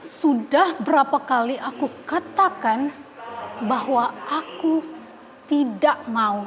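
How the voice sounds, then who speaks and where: Putting on a character voice, a woman speaks loud and strained at a high pitch and a very slow pace, over light background noise. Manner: restrained anger.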